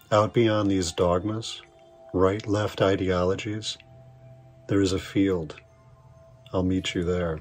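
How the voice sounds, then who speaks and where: With music in the background, a man with a very deep, low pitch speaks at a very slow pace in a monotone, flat intonation. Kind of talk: spoken word poetry reading. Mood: reflective, wry, intense.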